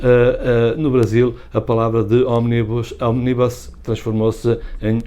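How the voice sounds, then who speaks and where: A man's medium-pitched voice with a European Portuguese accent. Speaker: language channel host. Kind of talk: casual educational talk to camera.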